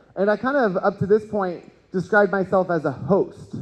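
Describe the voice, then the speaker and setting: Loud and animated, a man speaks with an American accent. His pace is moderate. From Texas, Houston. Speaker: cannabis educator and event host. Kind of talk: conference talk. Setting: stage with audience.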